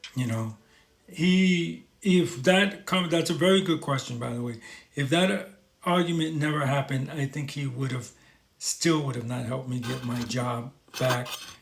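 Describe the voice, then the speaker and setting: Speaking with a New York accent, a man uses a fairly high pitch. His intonation is lively and his pace moderate. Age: 50s. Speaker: talk show host. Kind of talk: live stream chat reading viewer comments.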